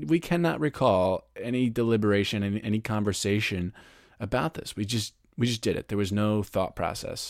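In a very clean recording with a silent background, a man with a fairly low pitch speaks at a fairly quick pace in an unremarkable speaking voice. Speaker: podcast host and author. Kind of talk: interview conversation.

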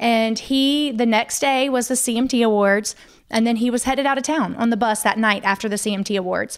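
A woman speaks at a fairly quick pace in a fairly high pitch, with fairly even intonation and very even loudness. Hers is an ordinary speaking voice. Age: 30s. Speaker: wife of a country singer, mother. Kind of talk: casual interview chat.

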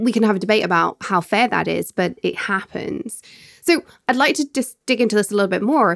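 With lively intonation and vocal fry, a woman talks at a fairly quick pace in an animated, upbeat tone. The sound is dry and close, with no echo. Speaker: podcast host. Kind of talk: casual interview.

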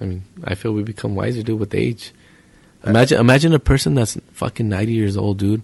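Somewhat breathy, a man talks at a very fast pace. His fairly low voice shows ordinary pitch variation. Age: 30s. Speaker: pool player. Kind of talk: casual chat.

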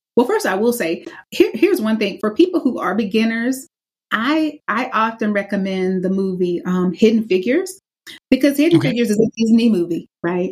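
A woman's fairly high, somewhat breathy voice in an American accent, fairly quick in pace, with very wide pitch swings. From US South. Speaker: anti-racism curriculum specialist and author. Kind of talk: interview. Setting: video call.

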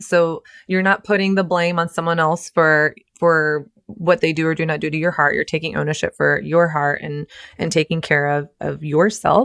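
A woman has an unremarkable speaking voice, fairly low in pitch, with fairly even intonation at a moderate pace and a dry, close sound with no echo. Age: 30s. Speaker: relationship coach and author. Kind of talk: casual chat.

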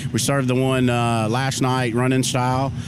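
A man talks in an American accent as noticeable background noise carries on. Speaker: barbecue cook. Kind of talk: casual interview. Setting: outdoors at barbecue festival. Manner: halting, repeats words.

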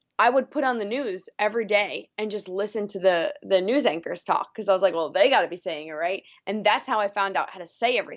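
Hardly pausing at all, a woman talks at a very fast pace with ordinary pitch variation. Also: medium pitch for a woman. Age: 30s. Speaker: radio morning show host. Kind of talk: casual chat.

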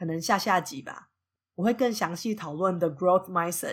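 The speaker has a Taiwanese accent and ordinary pitch variation. The recording is very clean, with a silent background. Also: woman. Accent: Taiwanese Mandarin. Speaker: podcast host teaching English. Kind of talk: podcast monologue with English lesson.

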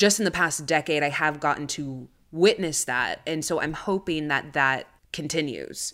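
Speaking fairly slowly with an American accent, a woman uses a very deep, low pitch and fairly even intonation. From United States (Chicana, Mexican-American). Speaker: writer and actress. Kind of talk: casual chat.

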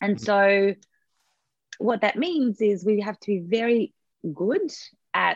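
Very slowly, a woman talks in an Australian accent, the sound dry and close with no echo. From Australia (born in USSR). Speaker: event and webinar coach. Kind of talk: interview, casual explanatory chat.

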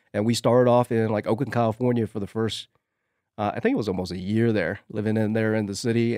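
Speaking at a very fast pace, a man with a dark, mellow tone and fairly low pitch keeps a fairly even intonation, in a dry, close sound with no echo on a very clean recording with a silent background. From Vietnam. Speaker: fly tyer. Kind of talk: casual interview.

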